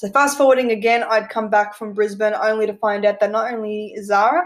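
Using an Australian accent, a woman talks fairly quickly at a fairly high pitch with fairly even intonation. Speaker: podcast host, amateur equestrian. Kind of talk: personal storytelling monologue. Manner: casual, frequent laughter.

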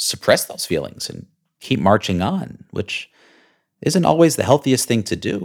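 A man talks at a moderate pace and medium pitch, with vocal fry and very wide pitch swings. The recording is very clean, with a silent background. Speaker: podcast host. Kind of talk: scripted intro then casual interview.

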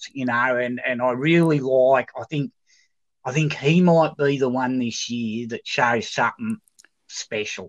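A man at a medium pitch with an Australian accent, fairly slow in pace, ordinary in pitch variation, dry and close with no echo against a quiet background. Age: 50s. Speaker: football club supporter. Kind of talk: casual chat.

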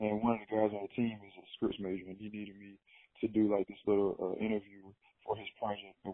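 This man talks at a very fast pace. His pitch sits fairly low. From small town in eastern Alabama, US South. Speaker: professional basketball player and media company founder. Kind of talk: casual interview.

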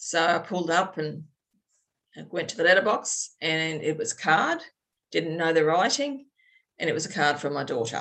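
A woman with an Australian accent speaks at a moderate pace in a fairly low pitch. Her pitch varies in an ordinary way, and her speech has long, frequent pauses. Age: 50s. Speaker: birth mother sharing her story. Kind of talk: testimony interview. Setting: video call. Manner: halting with many fillers.

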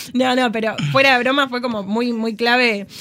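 A woman's voice with fairly even intonation. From Argentina, Tucumán. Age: 30s. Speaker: podcast guest, volunteer. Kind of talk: casual chat. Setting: studio.

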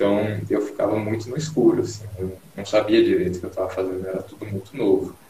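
A man talks over noticeable background noise. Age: 20s. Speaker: engineering student and bodybuilder. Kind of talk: casual interview on live stream. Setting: Instagram live video call.

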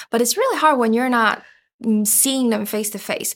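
Fairly even intonation in a Chinese accent, on a very clean recording with a silent background. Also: woman. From Taiwan, suburb of Taipei. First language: Mandarin Chinese. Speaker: podcast co-producer. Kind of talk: casual interview chat.

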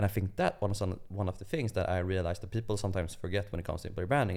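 The speech comes at a very fast pace in a Swedish accent. The recording is very clean, with a silent background. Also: man. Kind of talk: casual chat.

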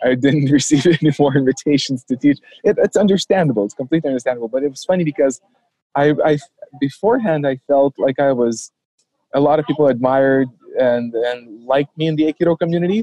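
Over a dry, close sound with no echo, a man with a dark, mellow tone speaks at a very fast pace. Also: fairly high pitch for a man, ordinary pitch variation. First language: not English. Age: 30s. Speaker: former aikido instructor turned MMA practitioner. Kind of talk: interview conversation.

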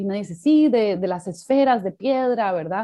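At a moderate pace, a woman uses an ordinary speaking voice with a fairly high pitch and lively intonation. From Costa Rica. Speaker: documentary filmmaker and anthropologist. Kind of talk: interview conversation.

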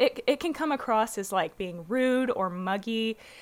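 With an American accent, a woman speaks with ordinary pitch variation on a very clean recording against a silent background. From US South, Little Rock, Arkansas. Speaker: horse trainer. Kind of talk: interview, casual explanation. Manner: animated.

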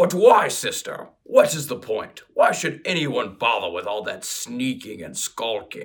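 Using a put-on character voice, a man talks at a fairly slow pace with hardly any pauses. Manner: scheming, persuasive.

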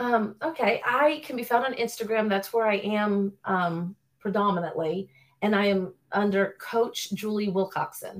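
A woman speaks at a fairly slow pace in a plain, everyday voice, her medium pitch rising and falling in an ordinary way. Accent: American. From Florida (Orlando area). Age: 40s. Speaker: personal trainer and nutrition student. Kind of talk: casual interview.

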